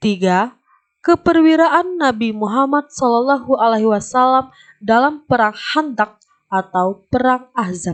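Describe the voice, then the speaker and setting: The woman's high voice carries lively intonation while she talks at a fairly slow pace. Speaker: voice-over narrator for educational video. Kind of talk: classroom lesson narration for children.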